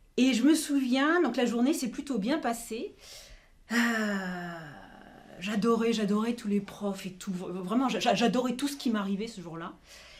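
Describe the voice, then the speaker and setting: The delivery is fairly slow with long, frequent pauses. Its intonation is lively. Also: woman, fairly high pitch for a woman. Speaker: actress. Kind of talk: improvised monologue to camera. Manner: hesitant, conversational.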